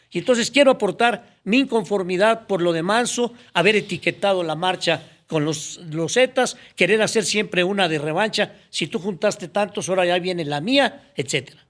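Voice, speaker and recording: A high-pitched man with a Mexican accent, ordinary pitch variation, a moderate pace and hardly any pauses. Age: 70s. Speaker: former public official. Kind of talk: podcast interview.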